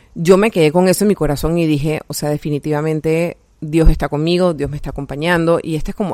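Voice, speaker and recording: Recorded dry and close with no echo, a woman with a fairly low pitch and an unremarkable speaking voice talks at a fairly quick pace with ordinary pitch variation. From Panama. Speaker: health coach and podcast host. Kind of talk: personal faith testimony monologue. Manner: casual, many fillers.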